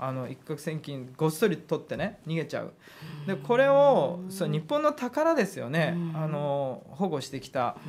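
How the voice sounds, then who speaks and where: In a normal speaking voice, the speaker talks at a fairly slow pace with lively intonation and big swings in loudness over light background noise. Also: man, fairly high pitch for a man. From Hokkaido, Japan. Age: 30s. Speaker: politician. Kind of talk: interview. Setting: studio. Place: studio. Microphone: studio mic.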